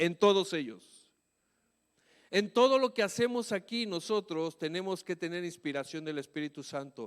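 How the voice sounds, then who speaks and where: A man speaks at a high pitch and moderate pace with lively intonation. The recording is very clean with a silent background and a dry, close sound with no echo. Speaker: pastor. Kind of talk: sermon. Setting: church. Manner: shouts at times.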